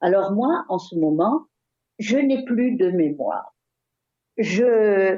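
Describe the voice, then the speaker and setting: A woman's voice sits fairly high in pitch. She speaks very slowly. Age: 80s+. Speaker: retired school director. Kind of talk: interview. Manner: halting.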